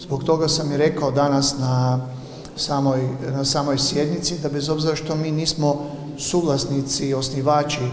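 Over light background noise and audible room echo, a man talks at a moderate pace with monotone, flat intonation. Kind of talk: interview answer. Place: hall. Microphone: handheld.

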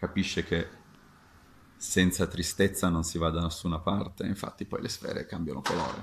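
A man speaks at a moderate pace with a very deep, low pitch, somewhat breathy. His intonation stays fairly even over light background noise. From Sicily, Catania. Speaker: fencing master. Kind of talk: video talk to camera. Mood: friendly, animated. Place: home room. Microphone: webcam.

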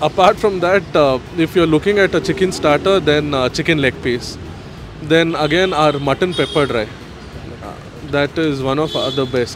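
Recorded dry with no echo but with noticeable background noise, a man speaks with ordinary pitch variation and long, frequent pauses. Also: moderate pace. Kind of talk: interview answer. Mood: friendly, smiling. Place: street. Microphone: handheld.

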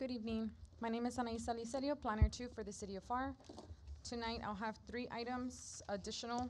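Speaking at a fairly quick pace in an American accent, a woman keeps a monotone, flat intonation at a fairly high pitch over light background noise. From South Texas. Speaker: city planning staff. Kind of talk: formal staff report reading. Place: meeting room. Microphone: podium.

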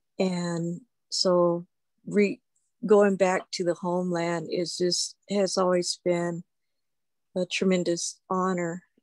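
A woman speaks in a monotone, flat voice. The sound is dry with no echo, over a quiet background. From Pawnee, Oklahoma; Oklahoma. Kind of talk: testimony. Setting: video call. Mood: warm, earnest, reflective. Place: home room. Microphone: video call.

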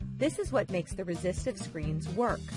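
A woman talks at a moderate pace. Music is playing behind her. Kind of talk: educational science explainer narration.

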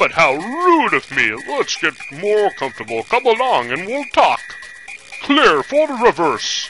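A man's put-on character voice at an extremely high pitch and moderate pace, with clear background noise. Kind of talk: wise mentor speech. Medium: solo performance. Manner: slow, sagely, solemn.

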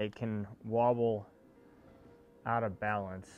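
Faint music plays in the background. A man talks with fairly even intonation. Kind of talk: casual tutorial vlog chat. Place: garage. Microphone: phone near.

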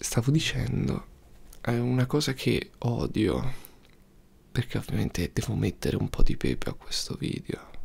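Soft-spoken and relaxed in tone, a man talks at a fairly slow pace with long, frequent pauses. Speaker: youtuber. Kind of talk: casual talk to camera. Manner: soft-spoken, relaxed. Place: home room. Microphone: studio mic.

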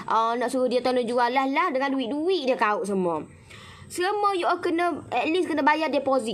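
A high-pitched woman in an animated tone at a moderate pace, with very wide pitch swings. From Malaysia. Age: 30s. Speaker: home business seller; online seller. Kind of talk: live-stream sales chat. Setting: Facebook live stream. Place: garden. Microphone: phone near.

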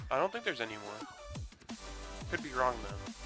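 A man talking at a moderate pace, with clear music in the background. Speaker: gamer recording a let's play. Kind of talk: casual gameplay commentary.

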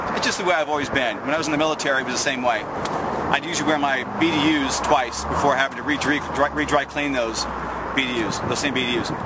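A man rushes along at a very fast pace, the sound dry with no echo, while loud background noise plays. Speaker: military veteran. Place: open country.

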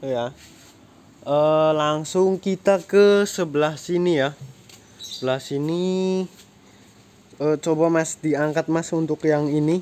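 Very slowly and with long, frequent pauses, a man talks in a fairly high pitch with fairly even intonation. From Central Java, Indonesia. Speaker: plant seller. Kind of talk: street-seller style sales pitch, walking past plants and calling out prices and promos. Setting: outdoors at a plant nursery, with an assistant handling the plants. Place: garden.

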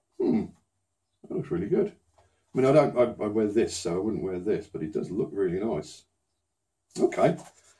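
A man's somewhat breathy voice with a British accent, very wide pitch swings and long, frequent pauses over a quiet background. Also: medium pitch for a man, moderate pace. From UK. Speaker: unboxing YouTuber. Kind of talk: casual unboxing vlog. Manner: subdued, less enthusiastic than usual; hesitant, many fillers.

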